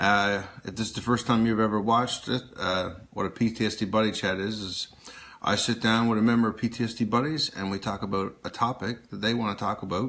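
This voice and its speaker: In a Newfoundland accent, a man talks at a fairly quick pace and a fairly low pitch with fairly even intonation. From Newfoundland, Canada. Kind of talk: casual talk to camera, livestream intro.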